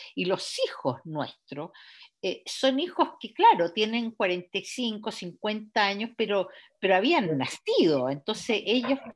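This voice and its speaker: A woman speaks at a fairly high pitch with very wide pitch swings. Vocal fry runs through her voice. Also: fairly slow pace. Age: 70s. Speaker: novelist. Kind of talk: author interview. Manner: halting, many fillers and repetitions.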